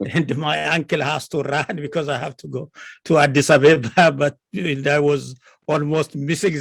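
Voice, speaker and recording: The voice has vocal fry and fairly even intonation at a moderate pace. The sound is dry and close, with no echo. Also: man. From Ethiopia, Kambata. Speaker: historian professor. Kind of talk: interview.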